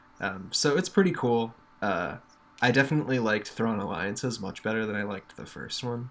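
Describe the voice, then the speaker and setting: A normal speaking voice, fairly quick in pace, with lively intonation. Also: man, medium pitch for a man. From New York. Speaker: podcast co-host. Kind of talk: casual chat. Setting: remote call.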